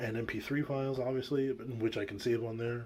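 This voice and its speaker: The voice is medium-pitched and male. It carries a somewhat breathy quality. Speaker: woodworker and small business owner vlogging. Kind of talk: casual vlog talk. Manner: hesitant, many fillers.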